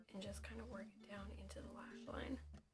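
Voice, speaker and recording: Over music in the background, a woman whispers quietly. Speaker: makeup artist and beauty vlogger. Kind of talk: casual whispered makeup tutorial to camera. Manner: whispered, hushed.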